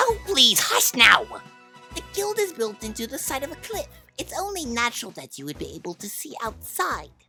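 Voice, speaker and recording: A female-sounding put-on character voice, high in pitch with very wide pitch swings, moves at a moderate pace over faint music in the background. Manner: bossy, fast, fussy.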